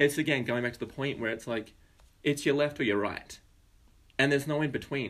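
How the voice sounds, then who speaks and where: A man with an Australian accent and a fairly high pitch talks at a fairly quick pace with fairly even intonation, broken by long, frequent pauses. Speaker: podcast co-host. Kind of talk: casual political chat.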